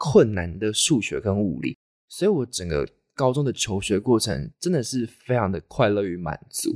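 A man speaks at a moderate pace with very wide pitch swings. The recording is very clean and dry, close and echo-free, with a silent background. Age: 20s. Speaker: podcast host, design student. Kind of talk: solo monologue podcast.

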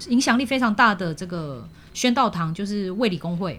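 Lively intonation marks a woman's normal speaking voice. She talks at medium pitch and a moderate pace. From Malaysia. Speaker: university language teacher and radio host. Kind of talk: casual interview.

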